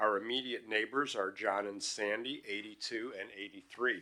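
Bright and sharp is how this man's voice sounds. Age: 70s. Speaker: retired psychologist giving public comment. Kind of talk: public comment at council meeting. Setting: council chamber at podium microphone. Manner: halting, many fillers.

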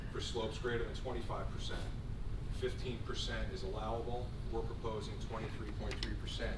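A man at a very slow pace over loud background noise. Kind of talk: technical testimony. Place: hall.

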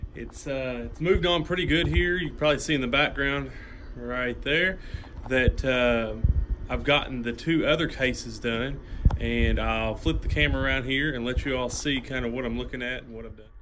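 Amid noticeable background noise, a man talks at a moderate pace with big swings in loudness. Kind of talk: casual vlog chat. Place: workshop. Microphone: phone near.

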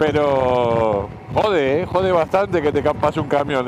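Against noticeable background noise, a man speaks with ordinary pitch variation in a dry sound with no echo. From Argentina. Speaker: motorcycle travel vlogger. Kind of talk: casual talk to camera. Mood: relaxed, joking. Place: motorbike. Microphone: helmet.

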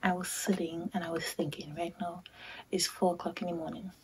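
A woman talks with a fairly low pitch. Noticeable background noise runs behind her. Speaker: vlogger. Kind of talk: casual vlog chat. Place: home room. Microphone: phone near.

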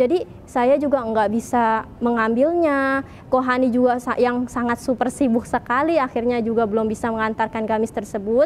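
Over light background noise, a woman with a high pitch talks at a moderate pace with fairly even intonation. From Indonesia, Tangerang; Indonesia. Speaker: convert sharing testimony. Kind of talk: testimony. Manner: casual with frequent fillers. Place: church. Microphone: lapel.

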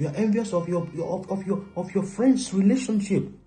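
A man speaks at a very fast pace while faint music plays in the background. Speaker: relationship preacher. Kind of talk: sermon. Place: home room. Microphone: phone near.

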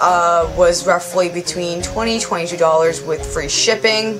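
A woman talks at a very slow pace with ordinary pitch variation. Clear music plays in the background. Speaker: cosplay vlogger. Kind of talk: casual review vlog.

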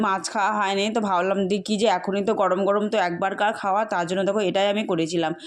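Her pitch sits in the medium range. The woman's intonation is fairly even. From Murshidabad district, West Bengal, India. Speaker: food vlogger. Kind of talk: casual vlog talk to camera. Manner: chatty, rambling.

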